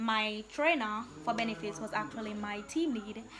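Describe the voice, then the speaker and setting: Over noticeable background noise, a woman with a Jamaican accent speaks fairly slowly at a fairly high pitch with ordinary pitch variation. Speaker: vlogger. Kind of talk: casual chat. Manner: animated.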